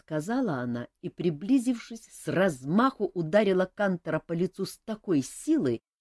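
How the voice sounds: The lively intonation rides on a natural reading voice. The background is quiet.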